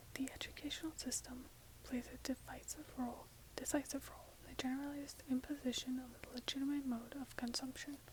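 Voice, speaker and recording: The speaker is soft-spoken and talks at a very fast pace, with noticeable background noise behind. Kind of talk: ASMR book reading.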